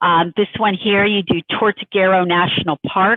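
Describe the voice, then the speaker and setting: Here a woman speaks with a Northeastern US accent. Her pace is moderate. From US Northeast. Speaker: tour company representative. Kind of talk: sales presentation. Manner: casual, conversational.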